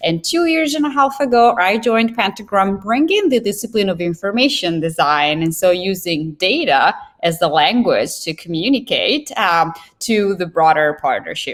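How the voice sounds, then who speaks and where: A woman with an Italian accent talks at a moderate pace and medium pitch, her voice making very wide pitch swings. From Italy. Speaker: information designer. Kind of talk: interview.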